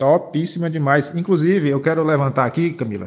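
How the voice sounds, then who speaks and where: This man has a fairly high pitch and an unremarkable speaking voice, and he talks at a moderate pace. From Brazil, Rio Grande do Norte. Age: 30s. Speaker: podcast host with Parkinson's. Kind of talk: casual chat.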